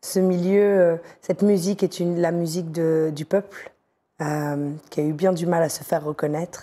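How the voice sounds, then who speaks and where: In a dark, mellow tone, a woman speaks at a fairly low pitch and moderate pace with fairly even intonation. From northern France. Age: 40s. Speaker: radio and TV presenter, journalist. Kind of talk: casual interview chat. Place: studio. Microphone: lapel.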